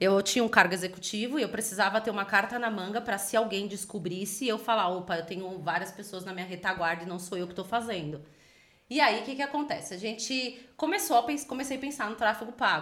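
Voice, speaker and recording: A woman talking at a very fast pace, her loudness swinging widely. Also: medium pitch for a woman, ordinary pitch variation. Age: 30s. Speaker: entrepreneur. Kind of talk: interview.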